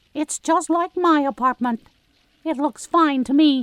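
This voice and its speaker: A woman performs a put-on character voice pitched high. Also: moderate pace. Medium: audio drama. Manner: formal, clipped.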